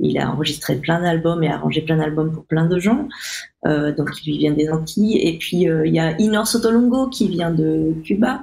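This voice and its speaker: Lively intonation from a woman with a fairly low pitch at a moderate pace, with audible room echo. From Réunion (Saint-Benoît). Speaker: musician. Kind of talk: interview. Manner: halting, many fillers.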